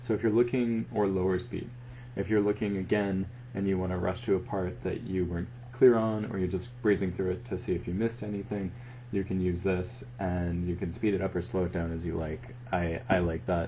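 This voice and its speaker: A man's very deep, low voice, dark and mellow with vocal fry, at a fairly quick pace with ordinary pitch variation. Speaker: student journal layout editor. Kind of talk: tutorial. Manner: hesitant, with ums and pauses.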